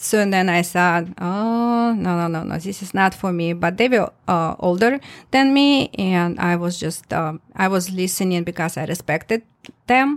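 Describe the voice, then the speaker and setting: On a very clean recording with a silent background, a woman with a Russian accent speaks at a moderate pace, her medium pitch showing ordinary variation. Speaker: testimony giver. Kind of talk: testimony told in interview conversation. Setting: studio, in person. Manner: halting, emotional, laughs often.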